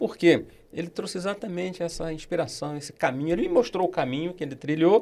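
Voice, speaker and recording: A man speaks at a very fast pace in a high-pitched voice. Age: 60s. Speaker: accounting professor and auditor. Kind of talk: podcast interview.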